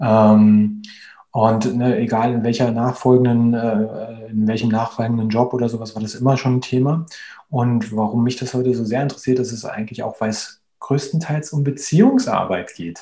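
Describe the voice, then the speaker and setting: This man talks at a moderate pace in a dark, mellow tone with fairly even intonation. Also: medium pitch for a man. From Berlin, Germany. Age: 30s. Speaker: agile coach. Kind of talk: interview. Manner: hesitant, many fillers.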